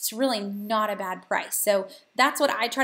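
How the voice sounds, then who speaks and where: In a very clean recording with a silent background, a woman speaks with a slight Southern US accent, her fairly high pitch held in fairly even intonation. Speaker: couponing and money-saving host. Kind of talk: live Q&A. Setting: live video stream. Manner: casual, many filler ums.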